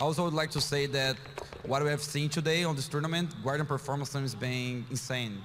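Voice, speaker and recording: With a Portuguese accent, a man talks at a fairly quick pace in a medium pitch and fairly even intonation over noticeable background noise. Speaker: pro esports player. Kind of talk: interview.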